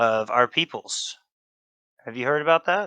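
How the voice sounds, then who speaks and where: Using a put-on character voice, a man sounds raspy, with lively intonation and a moderate pace, recorded dry and close with no echo against a quiet background. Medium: actual play. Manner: courteous, probing.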